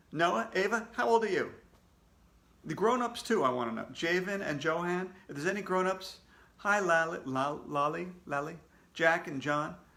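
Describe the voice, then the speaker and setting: The voice has a bright, sharp tone and lively intonation at a moderate pace, with audible room echo. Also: man, high pitch for a man. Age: 60s. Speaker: children's book author reading aloud to kids. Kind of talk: casual chat greeting live viewers. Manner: casual, halting with many fillers.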